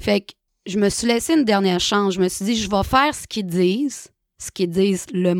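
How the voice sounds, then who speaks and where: Against a silent background on a very clean recording, a woman uses a normal speaking voice at a moderate pace, the sound dry and close with no echo. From Quebec, Saguenay-Lac-Saint-Jean (Chicoutimi). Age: 30s. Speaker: recovering alcoholic sharing her story. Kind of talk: personal testimony.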